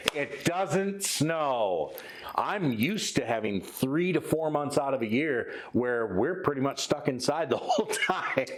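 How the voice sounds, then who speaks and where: With a Midwestern accent, a man talks at a fairly slow pace and a fairly high pitch, his loudness very even over noticeable background noise. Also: lively intonation. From Michigan, US Midwest. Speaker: metal band musician and podcast co-host. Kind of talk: casual chat.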